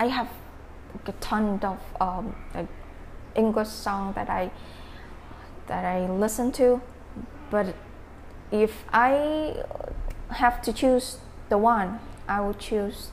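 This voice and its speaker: Very slow speech from a woman with a Vietnamese accent and fairly high pitch, with long, frequent pauses and noticeable background noise. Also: ordinary pitch variation. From Vietnam, Dak Lak province. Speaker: English conversation club organizer. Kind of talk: casual interview. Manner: halting, frequent fillers.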